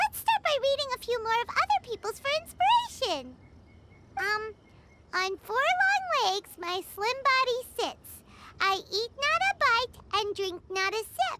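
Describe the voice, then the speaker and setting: A squeaky, female-sounding put-on character voice at an extremely high pitch, moderate in pace, with long, frequent pauses. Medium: video game. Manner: talks about herself in third person, excitable.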